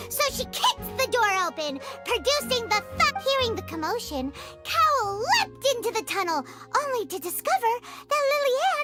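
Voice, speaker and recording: An extremely high-pitched, put-on character voice sounds over loud music in the background. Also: moderate pace. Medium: game stream. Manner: confident, explanatory.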